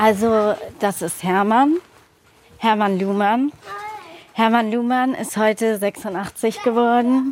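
Over noticeable background noise, a woman speaks very slowly at a fairly high pitch with ordinary pitch variation, leaving long, frequent pauses. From Hamburg, Germany (born in Namibia, adopted at two). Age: 20s. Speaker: adoptee, aspiring actress. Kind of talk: personal testimony.

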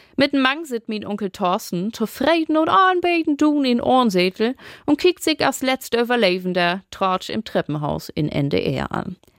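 Recorded dry and close with no echo, a woman speaks fairly slowly while her pitch swings very widely. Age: 30s. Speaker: storyteller. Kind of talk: scripted narration.

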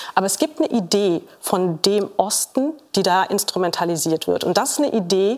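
A woman's lively intonation over noticeable background noise. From Saxony-Anhalt, eastern Germany. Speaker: sociologist. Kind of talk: TV panel discussion. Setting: TV studio with audience.

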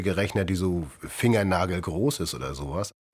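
With lively intonation, a man talks in a very deep, low voice. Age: 50s. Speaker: patient, café worker and former seaman. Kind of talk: recorded interview testimony.

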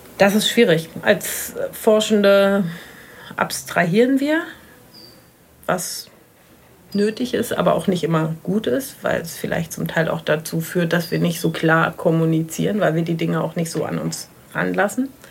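Long pauses come often as this woman talks rather slowly. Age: 50s. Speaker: marine biologist. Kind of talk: interview; audio diary. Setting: outdoors on a balcony.

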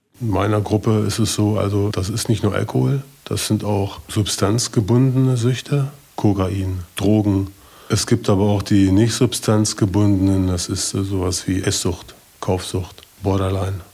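At a fairly slow pace, a man talks in a fairly low, dark, mellow voice that is somewhat breathy, with fairly even intonation. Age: 50s. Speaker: recovering addict. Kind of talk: testimony.

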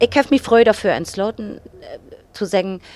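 A woman speaks at a fairly quick pace. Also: dry, close sound with no echo. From northern Germany, Cuxhaven. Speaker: actress and singer. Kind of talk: casual chat in Low German. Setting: studio.

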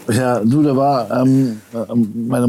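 Ordinary pitch variation runs through a man's dark, mellow voice. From Berlin-Kreuzberg, Germany. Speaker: guest. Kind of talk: casual chat.

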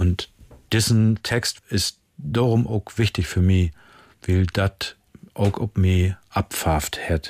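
Quiet, very slow speech from a man at fairly low pitch, with ordinary pitch variation, very even loudness and a dry, close sound with no echo. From northern Germany, Friesland (Jever). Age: 60s. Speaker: musician. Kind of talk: casual interview chat in Low German. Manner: quiet, reserved.

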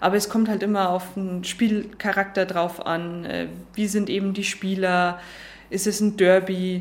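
A woman with a Lower Bavarian accent, fairly slow and monotone with flat intonation, amid audible room echo. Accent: Lower Bavarian dialect, noticeable. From Lower Bavaria, Germany. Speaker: football referee. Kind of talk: interview. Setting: stadium box.

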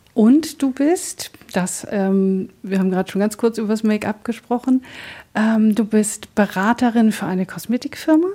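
A woman with a fairly high voice, a dark, mellow tone and a somewhat breathy quality talks at a moderate pace with ordinary pitch variation. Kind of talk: radio interview.

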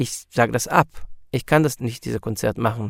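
A man with an Israeli accent speaks at medium pitch in a very clean, dry, close recording with no echo and a silent background. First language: Hebrew (speaking German). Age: 40s. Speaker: musician. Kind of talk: interview.

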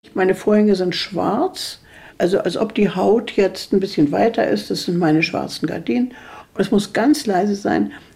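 The voice has a dark, mellow tone with vocal fry, moving at a moderate pace with lively intonation. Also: woman, medium pitch for a woman. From Mecklenburg, northern Germany. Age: 80s+. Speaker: author. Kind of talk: interview.

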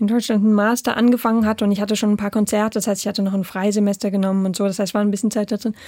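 A fairly high-pitched woman's voice with a dark, mellow tone, dry and close with no echo, on a very clean recording with a silent background. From Germany, Saarland (Saarbrücken). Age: 30s. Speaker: conductor. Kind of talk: radio interview. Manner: hesitant with fillers.

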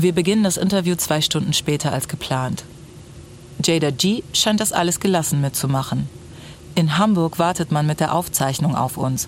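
Noticeable background noise accompanies a woman whose very deep, low voice holds a very even loudness. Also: ordinary pitch variation, moderate pace. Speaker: music journalist, podcast host. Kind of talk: interview with narration. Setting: studio.

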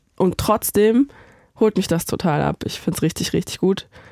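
Pitch variation is ordinary in this dark, mellow tone. No echo is present, and the sound is close and dry. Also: woman. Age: 30s. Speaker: editorial writer and video director. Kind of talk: casual chat. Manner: animated.

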